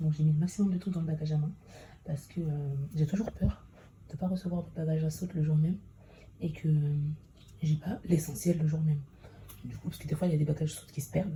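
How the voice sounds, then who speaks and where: At a very fast pace broken by long, frequent pauses, the voice sounds dark, mellow and somewhat breathy, with fairly even intonation. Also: woman, very deep, low pitch for a woman. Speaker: vlogger, mother. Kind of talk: vlog narration.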